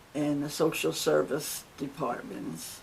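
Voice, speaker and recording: Speaking at a very slow pace, a woman has a New Jersey accent. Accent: New Jersey American. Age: 80s+. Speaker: retired secretary telling life story. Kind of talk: life story testimony. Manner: formal, measured.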